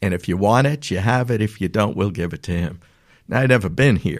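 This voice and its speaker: Talking at a fairly quick pace, a man with a fairly low pitch shows ordinary pitch variation in a very clean recording with a silent background. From New York City. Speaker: business owner. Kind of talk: casual interview.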